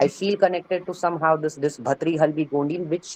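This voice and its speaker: Someone with an Indian accent speaks at a fairly quick pace. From India, Bastar (Chhattisgarh). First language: Odia. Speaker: student participant. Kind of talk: seminar discussion. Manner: halting.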